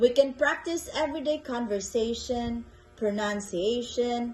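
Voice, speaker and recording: With music in the background, the speech moves at a very slow pace through very wide pitch swings. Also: woman. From Philippines. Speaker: English tutor. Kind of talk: tutor introduction video. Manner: slow, clear.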